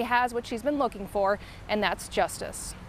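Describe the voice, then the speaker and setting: Here is a woman with a plain, everyday voice and a fairly high pitch. Her pace is fairly quick. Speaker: TV news reporter and anchor. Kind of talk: TV news report.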